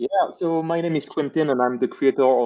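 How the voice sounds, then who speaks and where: This man's talking has ordinary pitch variation and a moderate pace. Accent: Belgian. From French-speaking Belgium. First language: French. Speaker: VR developer and YouTube educator. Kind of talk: casual live stream chat. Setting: live stream.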